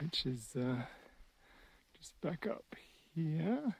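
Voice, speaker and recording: A man speaks at a very slow pace. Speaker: hiking vlogger. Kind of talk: casual vlog narration. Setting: outdoors.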